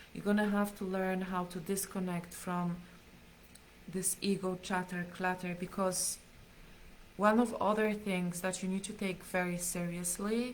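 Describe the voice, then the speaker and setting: There is a woman speaking at a medium pitch. Her intonation is monotone and flat. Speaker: spiritual teacher. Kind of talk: live stream teaching. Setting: live stream.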